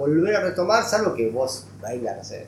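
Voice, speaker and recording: A man's fairly high-pitched voice with very wide pitch swings, audible room echo and noticeable background noise. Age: 40s. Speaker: economic journalist. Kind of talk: interview.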